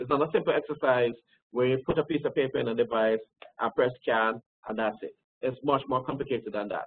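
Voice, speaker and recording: His delivery comes at a very fast pace. The man's pitch sits in the medium range, and his intonation stays fairly even. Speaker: records management expert presenter. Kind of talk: webinar presentation. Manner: hesitant fillers.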